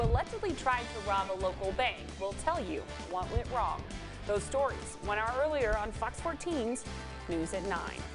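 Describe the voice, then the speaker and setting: Music playing behind a woman's moderately paced voice. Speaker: television anchor, reporter and lifestyle show host. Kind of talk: local TV news anchor read. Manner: clear, professional, measured.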